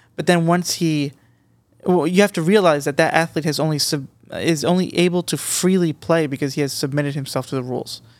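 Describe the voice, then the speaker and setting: In a normal speaking voice, a man talks at a fairly quick pace with fairly even intonation, on a very clean recording with a silent background. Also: fairly high pitch for a man. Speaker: podcast panelist. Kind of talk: casual chat.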